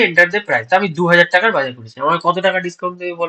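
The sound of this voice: This man talks very fast with a bright, sharp tone, a high pitch and lively intonation.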